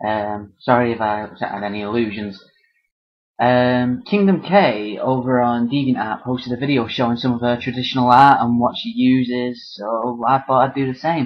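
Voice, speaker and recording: Moderate pace from a man with a British accent, medium pitch and ordinary pitch variation. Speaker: artist and vlogger. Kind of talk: casual chat. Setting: webcam video at home. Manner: hesitant, many fillers; less energetic than usual character voice. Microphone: built-in monitor webcam.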